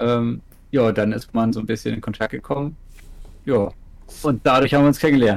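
A man with a northern German accent speaks at a medium pitch. He leaves long, frequent pauses. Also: ordinary pitch variation, fairly quick pace. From northern Germany, Ratzeburg. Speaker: streamer. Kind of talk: casual chat.

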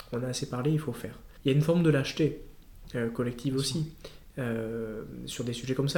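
At a fairly quick pace, a man's somewhat breathy, medium-pitched voice carries a dark, mellow tone and fairly even intonation. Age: 30s. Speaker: politician. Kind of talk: interview. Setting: party headquarters office.

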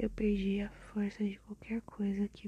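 A somewhat breathy woman's voice at medium pitch and a fairly slow pace, with a dark, mellow tone. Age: 20s. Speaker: podcaster. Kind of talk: personal monologue.

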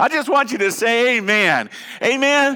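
Over noticeable background noise, a man speaks in a raised, projected voice with ordinary pitch variation. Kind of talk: sermon. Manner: animated, fervent call-and-response, urging the congregation to shout amen; emotional, heartfelt, repeating phrases for emphasis.

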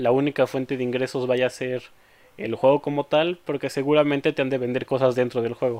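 The man speaks in a flat, monotone way. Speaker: podcast host. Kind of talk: casual chat.

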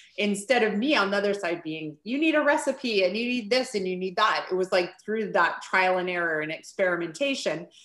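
A woman's fairly quick, lively, medium-pitched delivery, an unremarkable speaking voice on a very clean recording with a silent background. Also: hardly any pauses. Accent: Canadian. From Vancouver Island, British Columbia, Canada. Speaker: author and parent. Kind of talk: casual chat.

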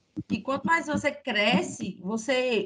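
A woman with a high pitch uses a raised, projected voice and lively intonation. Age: 20s. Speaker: podcast host. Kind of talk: casual chat.

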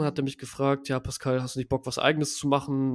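A man's fairly high voice at a very fast pace, on a very clean recording with a silent background. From Düsseldorf, Germany. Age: 20s. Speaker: growth hacking agency founder. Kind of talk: interview. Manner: casual, many fillers.

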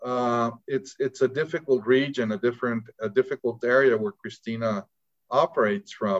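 In a normal speaking voice, a man at medium pitch talks at a moderate pace with ordinary pitch variation, the sound dry and close with no echo. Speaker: interviewer and honorary consul. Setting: video call.

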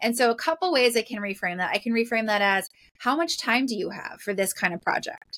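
A woman with an ordinary speaking voice, fairly high in pitch and fairly quick in pace, in a dry, close sound with no echo. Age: 40s. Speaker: professional organizer. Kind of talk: casual chat.

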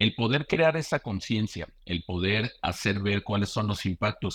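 A normal speaking voice moves at a moderate pace in a dry, close sound with no echo over a quiet background. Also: man. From Mexico. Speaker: bank security executive. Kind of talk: casual interview.

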